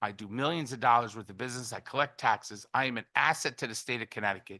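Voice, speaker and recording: A man with a bright, sharp tone and medium pitch talks at a fairly quick pace over a quiet background. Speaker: business owner testifying. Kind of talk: public testimony. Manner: fast.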